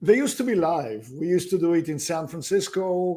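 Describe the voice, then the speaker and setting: A man's dark, mellow voice with a high pitch, a moderate pace and a slight non-native accent. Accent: slight foreign. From abroad. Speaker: real estate investment executive. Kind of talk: interview.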